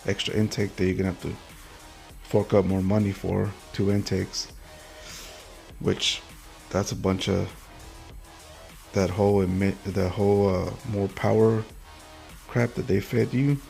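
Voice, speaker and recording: Music plays in the background as a man speaks at a moderate pace. His fairly low voice comes with long, frequent pauses. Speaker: car channel host. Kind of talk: casual rant. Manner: animated.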